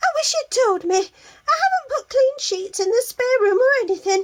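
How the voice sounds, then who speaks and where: In a put-on character voice, a woman squeaks at an extremely high pitch. Her intonation is lively and her pace moderate. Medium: read story. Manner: brisk, fussy.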